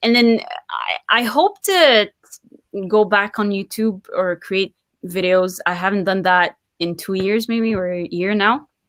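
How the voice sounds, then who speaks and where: In a very clean recording with a silent background, a woman with a French accent talks at a medium pitch and a very slow pace. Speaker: poet and writer. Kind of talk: interview. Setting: live video stream.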